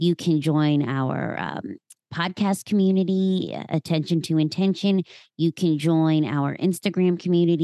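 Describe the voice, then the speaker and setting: Dark, mellow tone at a moderate pace, with ordinary pitch variation and a dry, close sound with no echo. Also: woman. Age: 30s. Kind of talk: casual chat. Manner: animated.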